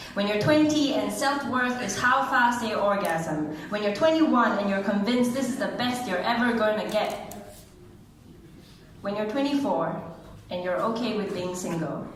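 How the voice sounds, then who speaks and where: Noticeable background noise behind a woman with a fairly high pitch, lively intonation, and a moderate pace. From Singapore. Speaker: spoken word poet. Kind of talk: poetry reading. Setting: live event.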